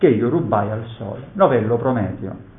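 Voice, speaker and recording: Here is a man with an ordinary speaking voice. He talks at a fairly slow pace with lively intonation. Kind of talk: poet reading verse aloud in a lecture. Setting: conference hall. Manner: measured, solemn, declamatory reading of sonnet verse; formal, reflective.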